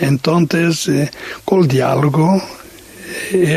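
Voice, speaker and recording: A man with a Portuguese accent, ordinary pitch variation, and noticeable background noise. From Portugal. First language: Portuguese (speaking Spanish). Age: 60s. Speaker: missionary. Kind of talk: radio interview testimony. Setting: radio studio, late night. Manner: halting, many hesitations.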